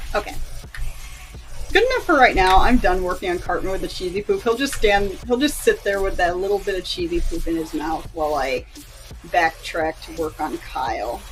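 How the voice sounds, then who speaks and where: A quiet voice moves at a moderate pace with music in the background. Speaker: animator streamer. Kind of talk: live stream commentary while working. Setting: live stream. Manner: casual, halting with fillers.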